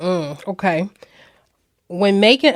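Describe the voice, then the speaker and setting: A woman with a plain, everyday voice speaks at a fairly slow pace, using a medium pitch and ordinary pitch variation. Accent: American. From Florida. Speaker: podcast host. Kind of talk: casual interview.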